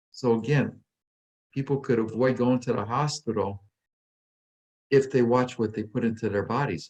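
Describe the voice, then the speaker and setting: Speaking at a fairly quick pace, a man with an unremarkable speaking voice keeps a medium pitch and ordinary pitch variation. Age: 60s. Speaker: weight loss coach and author. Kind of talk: podcast interview.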